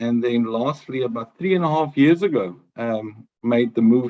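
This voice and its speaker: A man with a South African accent, medium in pitch, with ordinary pitch variation. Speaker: HR business partner, webinar panelist. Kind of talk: webinar presentation. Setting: video call. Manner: hesitant, many fillers.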